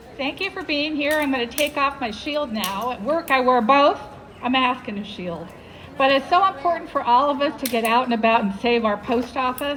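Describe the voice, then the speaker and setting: Lively intonation carries the voice at a moderate pace over noticeable background noise. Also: woman, high pitch for a woman. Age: 70s. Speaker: healthcare worker. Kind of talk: rally speech. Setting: outdoor rally in front of a post office.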